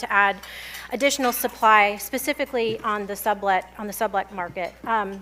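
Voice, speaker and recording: A woman talks with fairly even intonation. Behind her, music plays. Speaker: commercial real estate data presenter. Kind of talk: conference presentation. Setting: luncheon event with audience. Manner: fast.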